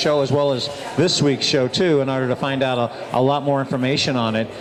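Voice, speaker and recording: A man's fairly high voice at a fairly quick pace, with audible room echo and noticeable background noise. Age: 60s. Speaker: radio show host. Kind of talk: radio talk show, product promotion. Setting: live remote broadcast at a restaurant.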